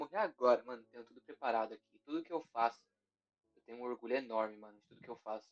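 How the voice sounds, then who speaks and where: A man speaks at a very fast pace with big swings in loudness. The sound is dry and close, with no echo. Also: medium pitch for a man, ordinary pitch variation. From Guarulhos, São Paulo, Brazil. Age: young. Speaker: rapper. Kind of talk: casual chat.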